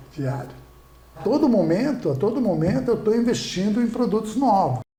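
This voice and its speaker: A man speaks at a moderate pace in a high voice, with very wide swings in pitch. Room echo is audible. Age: 60s. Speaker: restaurant owner. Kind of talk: podcast interview. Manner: repetitive, halting.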